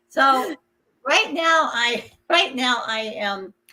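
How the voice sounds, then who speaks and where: With music in the background, a woman speaks with lively intonation. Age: 60s. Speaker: empowerment speaker and coach. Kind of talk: podcast interview.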